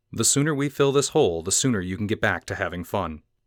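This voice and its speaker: In a put-on character voice, a man rattles along at a very fast pace with a fairly low pitch. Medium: read story.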